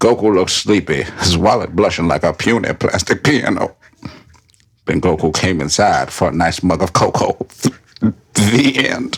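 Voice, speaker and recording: A man speaks at a moderate pace in an unremarkable speaking voice, pitched fairly low. His loudness is very even. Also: lively intonation. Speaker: podcast host. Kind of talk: whispered ASMR-style reading of fan fiction on a comedy podcast.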